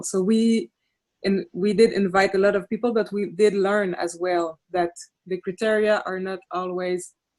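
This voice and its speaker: A woman with a Quebec accent speaks at a moderate pace and medium pitch, her intonation monotone and flat. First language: French. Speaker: city councillor. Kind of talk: panel discussion. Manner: halting.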